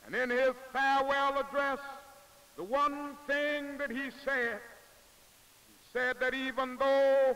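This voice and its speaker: In an American accent, a man speaks at a very slow pace with a raised, projected voice, an extremely high pitch, monotone, flat intonation and long, frequent pauses. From Southern United States. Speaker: civil rights leader, minister. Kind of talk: political speech to a crowd. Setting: outdoor rally, archival news film. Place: open country. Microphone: podium.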